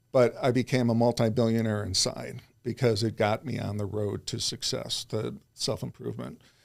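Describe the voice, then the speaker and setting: A medium-pitched man with an American accent and vocal fry, fairly even intonation, a moderate pace with hardly any pauses, on a very clean recording with a silent background. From US Midwest, Chicago suburbs. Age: 60s. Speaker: self-improvement coach. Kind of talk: interview conversation.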